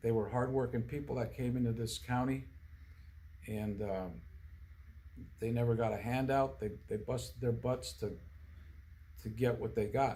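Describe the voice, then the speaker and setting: A man speaks at a fairly slow pace in a somewhat breathy voice. Room echo is audible. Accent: American. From central Pennsylvania, US. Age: 60s. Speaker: political candidate. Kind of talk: interview. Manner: halting, many fillers and restarts.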